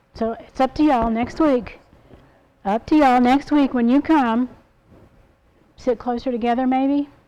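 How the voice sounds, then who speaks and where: Long pauses come often throughout. Otherwise the delivery holds a moderate pace. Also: woman, high pitch for a woman. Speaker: sign language teacher. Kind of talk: class teaching. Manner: casual, chatty.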